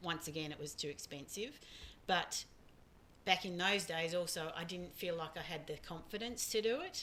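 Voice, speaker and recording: A woman with an Australian accent, fairly low-pitched, bright and sharp in tone, at a moderate pace. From Australia, small town. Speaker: podcast host's mother. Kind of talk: casual chat.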